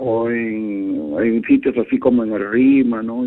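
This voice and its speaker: His voice has a medium pitch that rises and falls in an ordinary way. It is an unremarkable speaking voice. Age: 60s. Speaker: caller. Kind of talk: call-in complaint. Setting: phone call.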